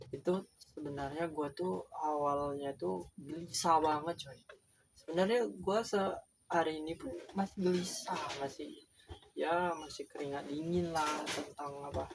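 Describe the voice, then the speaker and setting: This man talks at a fairly slow pace and fairly high pitch with ordinary pitch variation. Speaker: beginner YouTuber. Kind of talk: casual vlog monologue.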